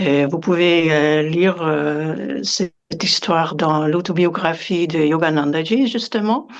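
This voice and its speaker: A woman's fairly low-pitched voice at a very slow pace, with ordinary pitch variation and very even loudness. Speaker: yoga meditation teacher. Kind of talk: interview. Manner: halting, many hesitations.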